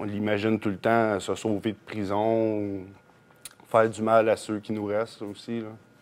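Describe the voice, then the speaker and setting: At a moderate pace, a man talks with a fairly low pitch. His intonation stays monotone and flat. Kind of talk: interview answer. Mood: somber, shaken. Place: studio. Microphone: lapel.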